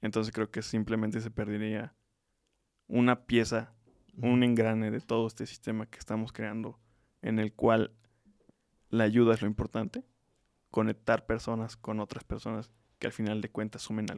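Long, frequent pauses and monotone, flat intonation at a moderate pace, with a dry, close sound and no echo. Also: man, medium pitch for a man. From Mexico, Tlaxcala. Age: 20s. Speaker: student and social entrepreneur. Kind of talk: interview.

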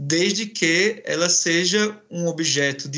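This man's voice sits high in pitch. He uses ordinary pitch variation. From Brazilian Northeast. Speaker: professor. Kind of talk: academic interview. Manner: halting.

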